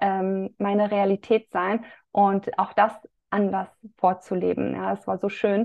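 A woman's voice at a medium pitch. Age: 30s. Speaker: women's health coach. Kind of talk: casual chat.

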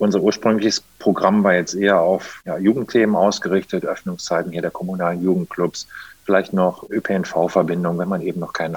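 The man's voice is very deep and low in pitch. The sound is dry and close, with no echo. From Germany, Rhineland (Monheim am Rhein, between Cologne and Düsseldorf). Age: 30s. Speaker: mayor. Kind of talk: interview.

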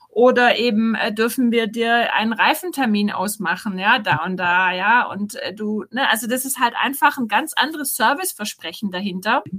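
Her voice is bright and sharp, fairly high, with lively intonation. This woman keeps a moderate pace with hardly any pauses. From Swabia, Rottenburg am Neckar near Tübingen. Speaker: startup co-founder. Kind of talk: interview.

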